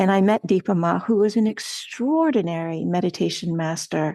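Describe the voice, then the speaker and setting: An unremarkable speaking voice at a moderate pace, with ordinary pitch variation, dry, close sound with no echo and a quiet background. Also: woman. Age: 60s. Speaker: meditation teacher. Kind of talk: podcast interview.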